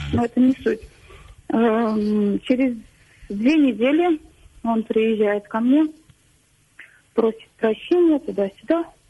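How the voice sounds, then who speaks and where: Woman at a very slow pace with long, frequent pauses, very even loudness, and ordinary pitch variation. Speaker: caller. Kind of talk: phone-in personal story. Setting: phone call. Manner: halting, hesitant.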